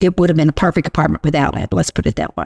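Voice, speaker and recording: A woman's voice with vocal fry comes through in a dry, close sound with no echo. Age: 70s. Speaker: senior living resident and senior services team member. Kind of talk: casual interview chat.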